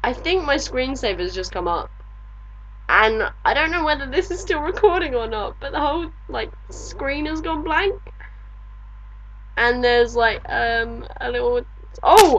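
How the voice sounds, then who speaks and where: A woman with an English accent talks at a fairly slow pace, leaving long, frequent pauses, with audible room echo. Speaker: video blogger. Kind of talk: video diary reply.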